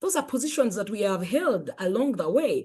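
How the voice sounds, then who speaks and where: This woman's pitch swings very widely, and her tone is animated. Her voice is somewhat breathy over a quiet background. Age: 50s. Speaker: life coach and author. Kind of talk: motivational talk.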